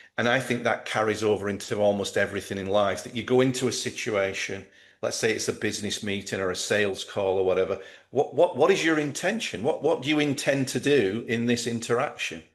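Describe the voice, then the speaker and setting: An unremarkable speaking voice belongs to a man of medium pitch. He moves at a fairly quick pace with ordinary pitch variation. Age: 60s. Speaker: golf performance coach. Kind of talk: interview.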